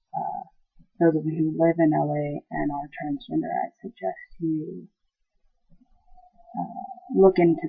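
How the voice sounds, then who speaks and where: Over music in the background, a man with an American accent speaks at a fairly slow pace with long, frequent pauses. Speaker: vlogger. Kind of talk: casual video update. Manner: hesitant, many fillers.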